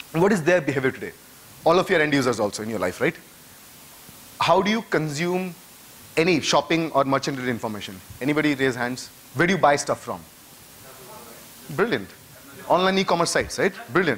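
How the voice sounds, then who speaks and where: Someone with an Indian accent talks at a very fast pace with lively intonation and long, frequent pauses over noticeable background noise. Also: man, fairly high pitch for a man. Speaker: conference speaker. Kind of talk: conference talk. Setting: stage with audience.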